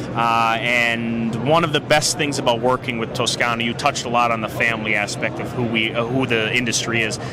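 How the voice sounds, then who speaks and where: Over noticeable background noise, a man with a northeastern Pennsylvania accent talks fairly quickly in a monotone, flat intonation. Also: medium pitch for a man, hardly any pauses. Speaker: cigar company representative. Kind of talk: trade show interview. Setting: trade show floor.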